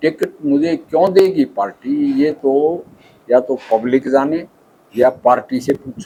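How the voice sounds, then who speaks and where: The voice has a dark, mellow tone. Its pitch variation is ordinary. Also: man, fairly high pitch for a man. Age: 70s. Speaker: politician, retired army doctor. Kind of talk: interview.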